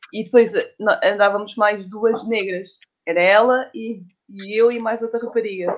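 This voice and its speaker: Her pitch fairly high, a woman speaks in a normal speaking voice at a fairly slow pace with fairly even intonation. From Portugal, Lisbon area. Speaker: doula. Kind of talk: casual interview.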